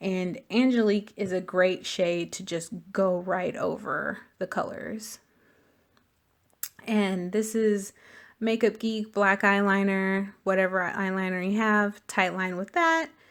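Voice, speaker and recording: A woman speaks at a medium pitch and a very slow pace with fairly even intonation, on a very clean recording with a silent background. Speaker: beauty vlogger. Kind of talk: makeup tutorial.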